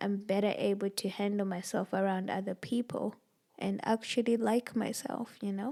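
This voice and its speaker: In a very clean recording with a silent background, a woman speaks at a fairly high pitch with ordinary pitch variation in a normal speaking voice. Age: 20s. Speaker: podcast host. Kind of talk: casual chat.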